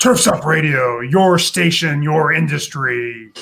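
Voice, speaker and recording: A man's gravelly, put-on character voice, fairly high in pitch, at a fairly slow pace. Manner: smooth, buttery delivery.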